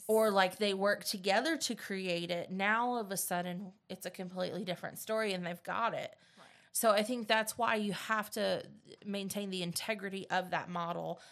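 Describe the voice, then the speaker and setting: Delivered at a moderate pace, the speech sits over a quiet background. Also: woman, medium pitch for a woman. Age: 30s. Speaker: teacher and podcast host. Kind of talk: casual chat. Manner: animated.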